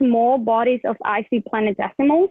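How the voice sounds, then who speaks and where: At a moderate pace, a woman with a non-native accent speaks in a fairly high pitch with ordinary pitch variation. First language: not English. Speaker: student research presenter. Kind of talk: presentation. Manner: halting.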